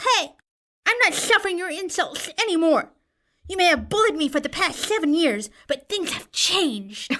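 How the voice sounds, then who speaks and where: A man uses a put-on character voice pitched extremely high. He keeps a moderate pace. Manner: panicked, whiny.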